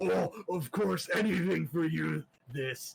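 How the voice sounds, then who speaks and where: A man puts on a raspy character voice. He speaks at a fairly slow pace with a fairly high pitch. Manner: obliging, gruff.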